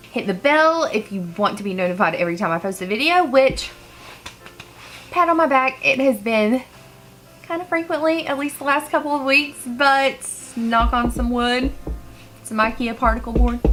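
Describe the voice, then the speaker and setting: A woman with a high pitch and lively intonation talks at a moderate pace. She leaves long, frequent pauses while music plays in the background. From rural small town. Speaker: makeup artist and beauty vlogger. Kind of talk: makeup tutorial. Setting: home, filming near a couch. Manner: casual, rambling. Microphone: cheap unidirectional microphone.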